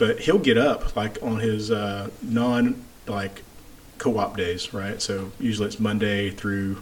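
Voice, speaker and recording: Over noticeable background noise, a man talks at a very slow pace and fairly low pitch with fairly even intonation. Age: 40s. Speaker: podcast host and registered nurse. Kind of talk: casual interview.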